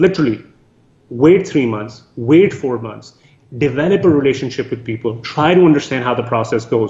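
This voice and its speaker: Lively in intonation, a man speaks at a moderate pace with a medium pitch and an unremarkable speaking voice. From Canada. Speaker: real estate syndicator. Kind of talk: interview.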